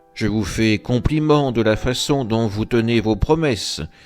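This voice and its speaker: Over background music, a man puts on a booming character voice of medium pitch, speaking at a moderate pace with ordinary pitch variation. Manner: loud, ironic, indignant.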